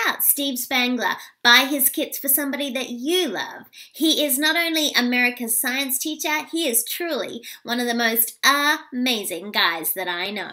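A woman's fairly high, squeaky voice, bright and sharp in tone, with lively intonation

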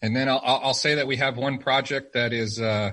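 A voice with an American accent speaks at a moderate pace in a flat, monotone way, its tone bright and sharp against a quiet background. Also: man. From rural Arizona. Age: 30s. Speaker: firearms retail company representative. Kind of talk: casual interview.

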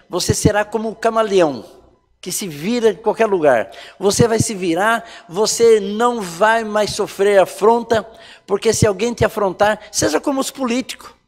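A man talks at a fairly slow pace in a high pitch. Faint music plays in the background. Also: ordinary pitch variation. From rural Brazil. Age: 60s. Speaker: pastor. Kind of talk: sermon. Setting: online church service. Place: church.

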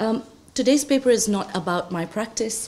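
Ordinary pitch variation in a woman's voice. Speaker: conference presenter. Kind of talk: conference talk. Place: classroom. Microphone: podium.

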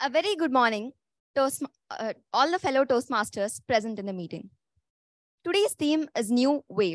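This woman has an Indian accent, a high pitch and very wide pitch swings, talking at a moderate pace with long, frequent pauses. The sound is dry with no echo over a quiet background. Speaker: meeting host. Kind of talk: formal meeting hosting. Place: classroom.

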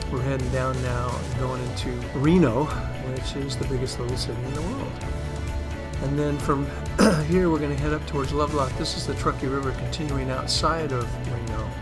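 Clear music plays behind this speaker. He is a man talking at a fairly quick pace. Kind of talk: casual travel commentary. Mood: awed, enthusiastic. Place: motorbike. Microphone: helmet.

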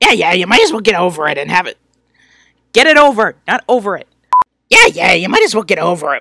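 In a put-on character voice, a man projects loudly at a high pitch, racing along very fast yet leaving long, frequent pauses. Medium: read story. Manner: sarcastic, whiny, insulting.

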